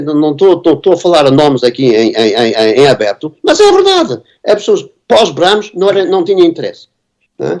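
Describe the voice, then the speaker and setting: The speaker has a European Portuguese accent and very wide pitch swings. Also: man, high pitch for a man, moderate pace. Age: 70s. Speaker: composer and music teacher. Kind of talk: conference panel discussion. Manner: halting, many repetitions and fillers.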